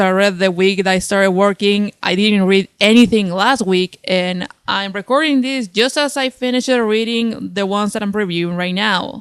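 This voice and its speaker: A woman with a Spanish accent, medium pitch, ordinary pitch variation, a moderate pace and hardly any pauses. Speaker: comic book reviewer. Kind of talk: unscripted video review. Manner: halting, tongue-tied.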